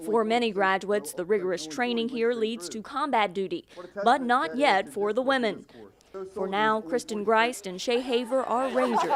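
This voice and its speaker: Using an ordinary speaking voice, a woman keeps a moderate pace and a fairly high pitch with lively intonation. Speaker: TV news reporter. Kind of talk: TV news package narration.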